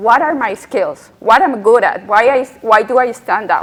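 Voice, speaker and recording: Over noticeable background noise, a woman speaks at a moderate pace with a Colombian accent. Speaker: UX strategist. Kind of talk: panel discussion.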